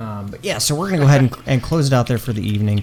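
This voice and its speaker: Noticeable background noise beneath a male voice of ordinary pitch variation. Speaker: game master and streamer. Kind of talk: casual chat. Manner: loud.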